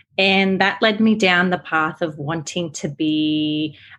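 At a fairly slow pace, a woman with an Australian accent speaks in a fairly low voice. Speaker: therapist. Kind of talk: interview.

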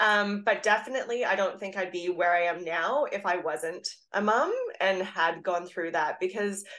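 A woman with an unremarkable speaking voice talks at a moderate pace, her pitch medium and its variation ordinary. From Canada. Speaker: fitness coach. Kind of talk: interview.

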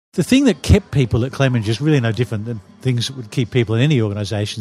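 This man talks with an Australian accent. His pitch variation is ordinary. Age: 60s. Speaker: retired advertising executive. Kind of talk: interview. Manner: halting.

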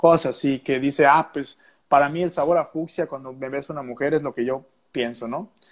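His intonation is fairly even. This man's voice sits fairly high in pitch. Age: 20s. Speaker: musician. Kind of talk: casual chat. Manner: halting, many repetitions.

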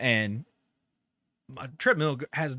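With ordinary pitch variation, a man speaks at medium pitch in a very clean recording with a silent background and a dry, close sound with no echo. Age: 40s. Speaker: podcast co-host. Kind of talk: casual chat.

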